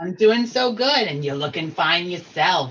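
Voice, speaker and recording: Using a put-on character voice, a man talks at a moderate pace with a high pitch. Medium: actual play. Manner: brassy, warm and showy.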